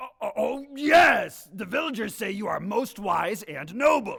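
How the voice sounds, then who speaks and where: Putting on a character voice, a man speaks at a fairly slow pace with an extremely high pitch and very wide pitch swings. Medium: stage play.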